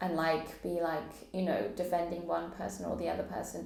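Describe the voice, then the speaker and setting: A woman with an English accent and fairly low pitch, at a moderate pace, with audible room echo. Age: 30s. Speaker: poet and vlogger. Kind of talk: personal testimony vlog. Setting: solo camera recording.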